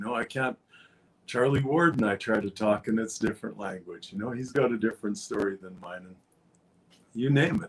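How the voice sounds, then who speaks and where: A man's medium-pitched, ordinary speaking voice with ordinary pitch variation. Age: 60s. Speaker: former rancher. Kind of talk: interview answer. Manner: casual, rambling.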